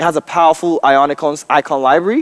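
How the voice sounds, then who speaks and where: A man with a Nigerian accent, fairly high pitch and very fast pace, in a dry, close sound with no echo. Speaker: software developer and trainer. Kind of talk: conference tech talk. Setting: stage with audience. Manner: casual, joking.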